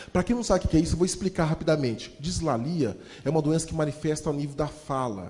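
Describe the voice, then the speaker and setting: In an animated tone, a man speaks with lively intonation. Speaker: motivational speaker and storyteller. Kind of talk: motivational talk with storytelling. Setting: stage with audience. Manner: fast.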